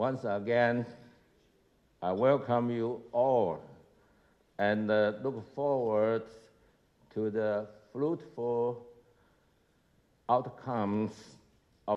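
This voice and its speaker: A man speaks very slowly with a strong Taiwanese accent and long, frequent pauses. His pitch is medium and his intonation fairly even. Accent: heavy Taiwanese Mandarin accent in English. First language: Mandarin Chinese. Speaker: think tank chairman. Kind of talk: opening speech.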